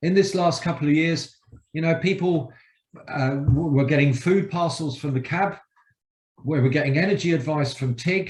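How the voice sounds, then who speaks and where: At a moderate pace, a man with a fairly high pitch sounds somewhat breathy and uses ordinary pitch variation. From London, England. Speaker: community energy charity representative. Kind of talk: public presentation. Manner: casual, joking.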